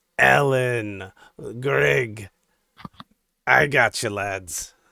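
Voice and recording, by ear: A man's put-on character voice, guttural and raspy, at a medium pitch with very wide pitch swings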